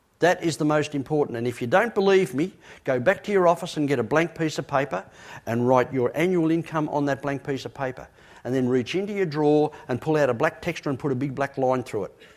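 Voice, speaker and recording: This man talks very fast with an Australian accent and ordinary pitch variation. The recording is very clean, with a silent background. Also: fairly high pitch for a man. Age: 60s. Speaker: motivational speaker. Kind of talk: motivational talk. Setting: stage with audience. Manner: emphatic.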